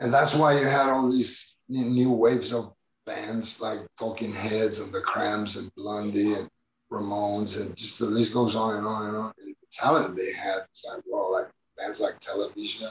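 A man with a Spanish accent speaks with big swings in loudness. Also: moderate pace. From Spain, Barcelona. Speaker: documentary filmmaker. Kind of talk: interview. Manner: casual, many fillers.

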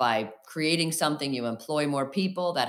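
A woman with an American accent, a very deep, low pitch, ordinary pitch variation and a fairly quick pace. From downstate Illinois, US Midwest. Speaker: physician and company CEO. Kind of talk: interview.

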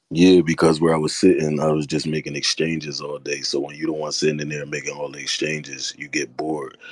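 Over noticeable background noise, a man with a very deep, low pitch speaks very fast in a monotone, flat way with hardly any pauses. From Philadelphia, US. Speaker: rapper. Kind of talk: casual interview chat.

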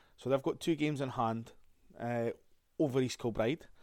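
On a very clean recording with a silent background, a man talks at a moderate pace and medium pitch. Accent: Scottish. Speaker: football podcast host. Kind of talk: solo podcast review.

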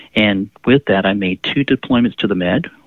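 With an American accent and an unremarkable speaking voice, a man speaks at a moderate pace in a fairly low pitch with ordinary pitch variation. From Pensacola, Florida. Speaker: nurse and veteran health educator. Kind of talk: interview.

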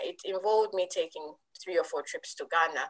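The voice belongs to a woman. She speaks with a Ugandan accent. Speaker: tech entrepreneur, network founder. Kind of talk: interview. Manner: hesitant with fillers.

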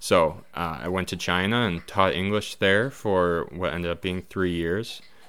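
A man with an Upper Midwest accent, very deep and low in pitch, at a fairly slow pace with ordinary pitch variation. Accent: Upper Midwest American. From Wisconsin (Neenah). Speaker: podcast producer and musician. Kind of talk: casual self-introduction. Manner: halting, many fillers.

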